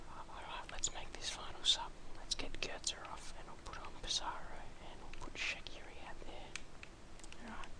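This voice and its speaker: Over noticeable background noise, a man whispers at a moderate tempo. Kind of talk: ASMR gaming commentary. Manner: whispered, soft-spoken.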